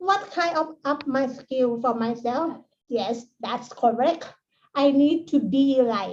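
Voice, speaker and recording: Speaking very slowly, a woman with a Thai accent has a high pitch. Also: ordinary pitch variation. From Thailand. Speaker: associate professor. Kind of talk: conference talk. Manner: halting.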